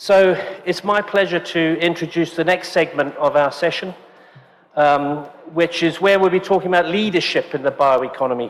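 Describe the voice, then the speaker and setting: A man with a British accent speaks at a moderate pace in a high pitch. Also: ordinary pitch variation. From UK. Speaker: event host, forum co-founder. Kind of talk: event introduction.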